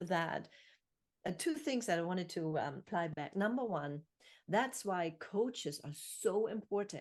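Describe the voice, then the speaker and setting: A woman with a German accent talks at a fairly slow pace with lively intonation. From Germany. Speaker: podcast host and author. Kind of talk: interview.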